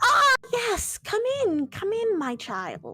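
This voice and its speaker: A put-on character voice at an extremely high pitch goes along at a very slow pace while faint music plays in the background. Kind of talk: theatrical. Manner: mystical, beckoning.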